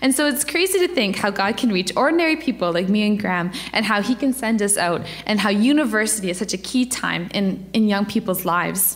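A woman's fairly high-pitched voice at a fairly quick pace, with lively intonation, very even loudness and hardly any pauses, over noticeable background noise. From Ontario. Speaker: campus missionary. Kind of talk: church presentation. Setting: church.

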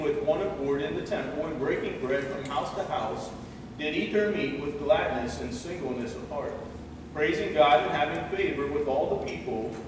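Strong room echo and noticeable background noise around a man speaking at a moderate pace. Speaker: pastor. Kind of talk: sermon. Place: church.

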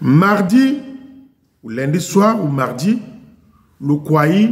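At a very slow pace with long, frequent pauses, a man speaks in a high pitch with very wide pitch swings. His loudness swings widely against a quiet background. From Republic of the Congo. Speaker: YouTube commentator. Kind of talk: video monologue. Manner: animated. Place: garage. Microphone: headset.

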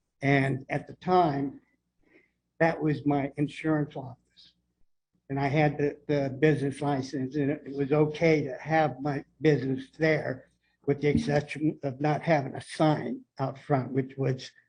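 Speaking in a monotone, flat way, a man has a fairly high pitch and a somewhat breathy sound. His pace is fairly slow. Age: 70s. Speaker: property owner speaking at public comment. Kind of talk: public comment at city meeting. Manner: halting.

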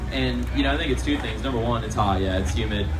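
A man speaks over noticeable background noise. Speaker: racing driver. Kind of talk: fan Q&A. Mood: relaxed, friendly. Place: stage. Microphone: pa.

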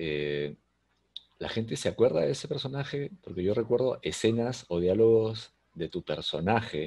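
A man's dark, mellow voice with lively intonation over a quiet background. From Peru. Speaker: podcast host; interview host. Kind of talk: interview. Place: home room. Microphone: video call.

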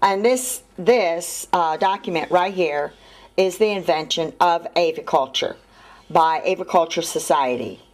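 Here a woman with a fairly low pitch has an unremarkable speaking voice, with ordinary pitch variation. She speaks at a fairly slow pace and at a very even loudness. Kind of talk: explanatory vlog talk. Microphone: phone near.

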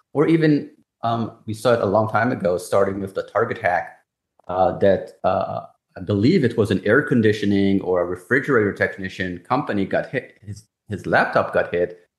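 The background is quiet. Room echo can be heard. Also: man, moderate pace. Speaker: cybersecurity executive. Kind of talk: interview. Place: home room. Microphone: video call.

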